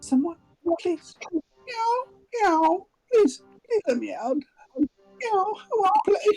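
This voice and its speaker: A put-on character voice at an extremely high pitch creeps along at a very slow pace, with long, frequent pauses. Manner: creepy, pleading.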